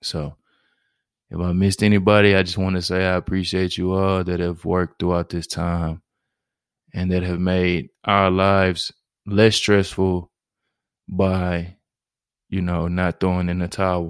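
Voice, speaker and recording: In a very clean recording with a silent background, a man with a very deep, low pitch speaks at a fairly slow pace with monotone, flat intonation and long, frequent pauses, in a dry, close sound with no echo. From Houston, Texas (Fifth Ward). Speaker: podcast host. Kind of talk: solo introductory podcast monologue. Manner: monotone, laid-back.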